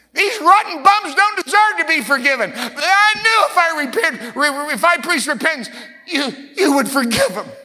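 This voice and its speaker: A man speaks at a moderate pace in a raised, projected voice, his pitch extremely high and swinging very widely. Noticeable background noise runs behind him. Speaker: pastor. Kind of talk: sermon and spoken prayer. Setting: church with congregation. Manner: fervent.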